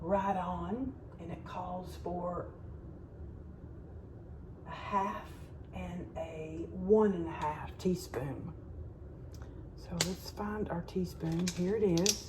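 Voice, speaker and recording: A woman in a Southern US accent speaks at a very slow pace with long, frequent pauses and big swings in loudness, amid noticeable background noise. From Alabama. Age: middle-aged. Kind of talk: casual cooking tutorial to camera.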